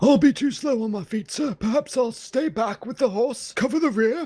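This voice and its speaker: This put-on character voice moves at a moderate pace with ordinary pitch variation. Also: man, extremely high pitch for a man. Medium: actual play. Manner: respectful, dutiful.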